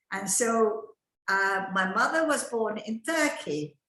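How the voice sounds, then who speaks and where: A woman's fairly high, bright, sharp voice with lively intonation, heard with audible room echo. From Egypt. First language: Ladino. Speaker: grandmother telling family history. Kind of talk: family storytelling on online event. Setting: video call.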